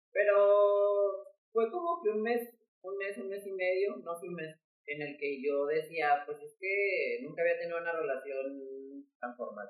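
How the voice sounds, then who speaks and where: The speech moves at a fairly slow pace over music in the background. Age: 20s. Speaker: podcast co-host sharing personal story. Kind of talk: casual chat.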